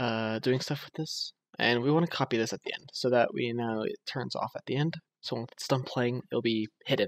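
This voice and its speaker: With a dry, close sound and no echo, a man of medium pitch talks at a fairly quick pace with fairly even intonation. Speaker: game programming tutorial creator. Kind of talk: screen-recorded coding tutorial. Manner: quiet, subdued speaking; casual with many fillers.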